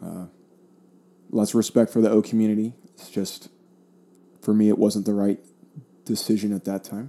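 Dark, mellow tones at a moderate pace, in an American accent. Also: man. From US, South Florida. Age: 30s. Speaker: podcast host, Air Force member. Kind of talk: solo podcast monologue. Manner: casual, with frequent fillers.

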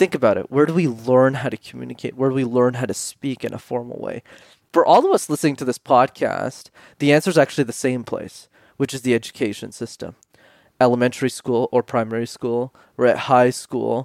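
With a Canadian accent and a normal speaking voice, a man talks at a fairly quick pace and medium pitch with fairly even intonation, the sound dry and close with no echo. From Canada, Montreal. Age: 20s. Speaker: public speaking coach. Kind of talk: interview.

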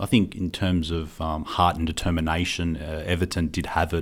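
A man with an Australian accent speaks at a moderate pace in a very deep, low voice, his intonation fairly even, on a very clean recording with a silent background. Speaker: football podcast co-host. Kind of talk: casual chat. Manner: hesitant, many fillers.

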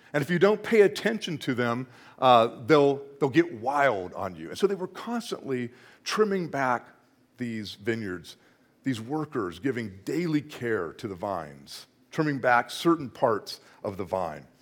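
Over a silent background in a very clean recording, a man of medium pitch talks fairly slowly with vocal fry, very wide pitch swings, big swings in loudness and long, frequent pauses. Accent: American. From Northern California. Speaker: associate pastor. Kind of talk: sermon. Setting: church.

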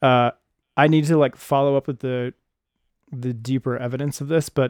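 In a dry, close sound with no echo, a man with an unremarkable speaking voice talks at a moderate pace and a fairly high pitch. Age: 30s. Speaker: podcast host. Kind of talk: casual chat.

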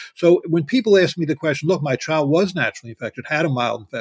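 A man speaks very fast, his pitch fairly high with ordinary variation and a somewhat breathy quality. The recording is dry and close with no echo, and the background is quiet. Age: 70s. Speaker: pediatrician and vaccine researcher. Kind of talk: interview. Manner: halting.

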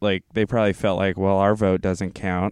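A man with a fairly low pitch speaks in a plain, everyday voice. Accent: American. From US South. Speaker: podcast co-host. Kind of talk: casual chat; reading aloud.

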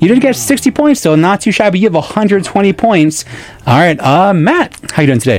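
The talking comes fairly fast, with noticeable noise behind it. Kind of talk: live radio trivia game show hosting. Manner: upbeat, quick-witted, playful banter with contestants; animated, encouraging, counts down the clock and cheers answers.

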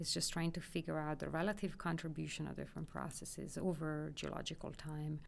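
With an Italian accent, a woman talks in a very deep, low, flat monotone, hardly pausing at all. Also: fairly quick pace. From northern Italy, near Milan. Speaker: geology professor. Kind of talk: interview.

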